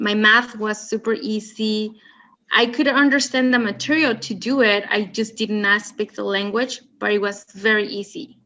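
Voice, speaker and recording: A woman speaks at a moderate pace in a Spanish accent, her fairly high voice bright and sharp, her intonation fairly even. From Mexico. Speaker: student. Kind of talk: casual chat.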